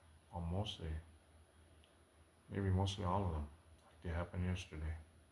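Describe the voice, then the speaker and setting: At a moderate pace, a man speaks with a very deep, low pitch and fairly even intonation. Audible room echo and noticeable background noise are present. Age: 60s. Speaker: vlogger sharing personal life story. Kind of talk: personal testimony monologue. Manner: halting.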